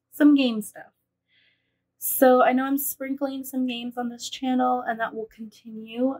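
A woman speaks with a high pitch and ordinary pitch variation. The background is quiet. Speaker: vlogger. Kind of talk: casual vlog chat. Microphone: phone near.

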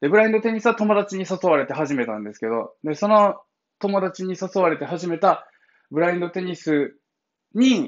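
The pace is fairly slow. Behind the voice, the background is quiet. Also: man. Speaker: blind founder of an advocacy group, livestreamer; livestreamer. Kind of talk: casual morning livestream monologue. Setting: live stream. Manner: casual, chatty with laughter. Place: home room. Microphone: phone near.

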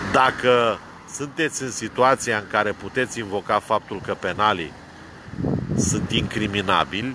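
A man speaks at a fairly slow pace, the sound dry with no echo and light background noise behind him. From Romania, Brăila; Romania. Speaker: vlogger, political commentator. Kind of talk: rant / monologue. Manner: animated. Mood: argumentative, critical. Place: car. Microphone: phone near.

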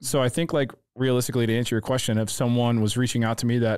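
Speaking with an American accent, a man goes at a very fast pace. His intonation is fairly even, and the background is quiet. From St. Louis, Missouri (North County); Missouri. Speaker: photographer; podcast guest. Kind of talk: casual chat. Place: studio. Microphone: studio mic.

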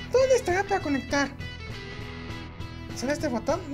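A woman's cartoonish character voice at a fairly quick pace, over loud music in the background. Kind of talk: cartoon fandub dialogue.

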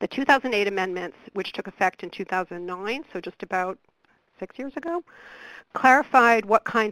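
A woman with an unremarkable speaking voice and medium pitch talks at a moderate pace with lively intonation and big swings in loudness. The sound is dry and close with no echo, on a very clean recording with a silent background. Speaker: research program director. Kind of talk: webcast presentation.

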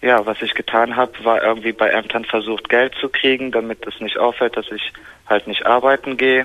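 Medium-pitched male voice, monotone and flat, at a moderate pace. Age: 20s. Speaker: caller. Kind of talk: phone call confession. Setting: phone call. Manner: halting.

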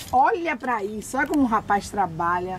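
A woman's voice over loud background noise. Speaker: local citizen reporter. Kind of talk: commentary. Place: street.

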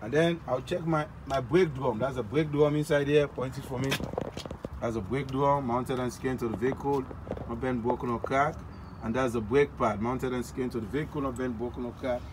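A man speaks fairly quickly, his pitch varying in an ordinary way, with noticeable background noise around him. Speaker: truck driving inspection demonstrator. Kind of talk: tutorial. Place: street. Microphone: phone near.

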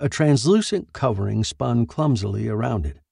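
With lively intonation, the speaker reads in an unforced reading voice.

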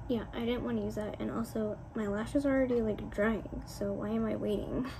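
Noticeable background noise runs behind a woman who talks at a moderate pace. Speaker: beauty vlogger. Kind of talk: casual vlog talk to camera.

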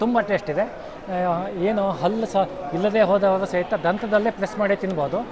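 A man talks at a high pitch. Crowd noise can be heard in the background. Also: ordinary pitch variation. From Uttara Kannada, Karnataka, India. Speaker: farmer. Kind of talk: interview.

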